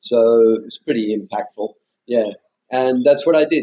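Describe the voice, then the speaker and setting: In an Australian accent, a man talks at a medium pitch with ordinary pitch variation. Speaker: meditation teacher, former Buddhist monk. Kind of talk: interview conversation. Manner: hesitant, many fillers and restarts.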